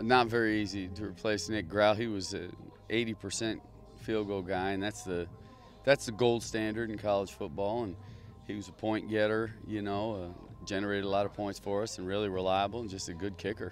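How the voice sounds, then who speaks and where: Over faint music in the background, a man with a fairly low pitch speaks in a monotone, flat intonation at a moderate pace, the sound dry with no echo. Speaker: assistant football coach. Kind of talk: interview answer. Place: stadium. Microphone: handheld.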